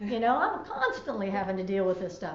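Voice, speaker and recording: Loud and very fast, a woman talks amid noticeable background noise and audible room echo. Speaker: talk show co-host. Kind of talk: casual chat.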